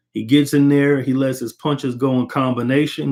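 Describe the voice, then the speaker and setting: This is an unremarkable speaking voice. It goes at a fairly quick pace. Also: man. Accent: American. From Texas. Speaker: boxing commentator. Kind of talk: casual fight analysis monologue. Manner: casual, conversational.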